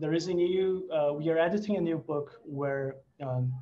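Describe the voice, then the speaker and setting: Somewhat breathy and dark, mellow in tone, a man's voice carries ordinary pitch variation. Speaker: researcher. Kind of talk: seminar Q and A. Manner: fast; halting.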